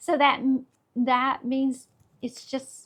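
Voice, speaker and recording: On a very clean recording with a silent background, a woman speaks at a very slow pace. Her high voice carries a Southern US accent. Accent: Southern US (Georgia). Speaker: real estate agent. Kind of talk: market update video. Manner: animated.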